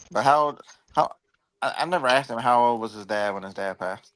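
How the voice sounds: The tone is fairly bright, with ordinary pitch variation. Delivery comes at a fairly quick pace. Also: man, medium pitch for a man.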